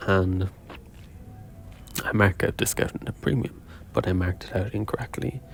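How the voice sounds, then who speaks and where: With music in the background, a soft-spoken man talks in a fairly even intonation. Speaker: day trader. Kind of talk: video diary. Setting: quiet room.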